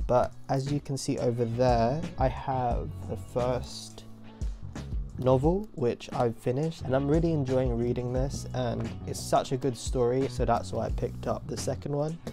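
Clear music plays behind a man speaking in an upbeat tone at a moderate pace. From UK. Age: 20s. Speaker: student. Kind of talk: casual vlog talk to camera. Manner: upbeat, chatty. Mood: cheerful, excited. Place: home room.

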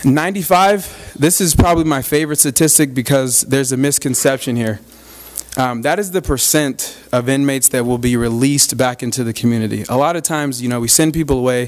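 With an American accent, the voice races at a very fast pace with ordinary pitch variation. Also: man. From Arizona. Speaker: reentry program manager, former inmate; guest. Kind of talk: public talk to a club audience. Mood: friendly, earnest. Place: hall. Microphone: podium.

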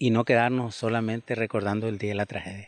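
A man in a monotone, flat intonation with a dry sound and no echo. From Nicaragua, Posoltega area; Nicaragua. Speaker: disaster survivor. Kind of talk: interview testimony. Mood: calm, earnest. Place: garden. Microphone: handheld.

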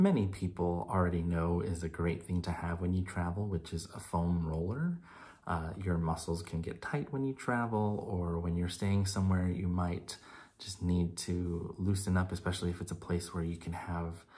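At a moderate pace, a man with a very deep, low pitch speaks in a dark, mellow, somewhat breathy tone with fairly even intonation. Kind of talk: casual vlog chat. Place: home room. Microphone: phone near.

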